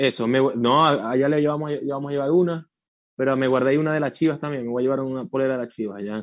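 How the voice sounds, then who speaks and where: Using fairly even intonation, a man with a medium pitch speaks at a very fast pace. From Venezuela. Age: 30s. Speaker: rock musician. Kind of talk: radio interview.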